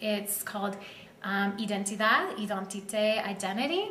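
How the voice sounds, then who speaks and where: In an American accent, a woman speaks at medium pitch and a moderate pace. Audible room echo and light background noise surround her voice. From southern Arizona (Tucson); Arizona. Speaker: photographer and river guide; river guide. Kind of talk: artist talk at a gallery. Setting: art gallery. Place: shop. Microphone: camera far.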